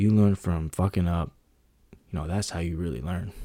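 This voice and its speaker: A man speaks with an American accent in a very deep, low pitch and a dark, mellow tone. The recording is very clean, with a silent background. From US West Coast, San Francisco Bay Area. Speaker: podcast host. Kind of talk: motivational monologue. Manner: casual, slangy.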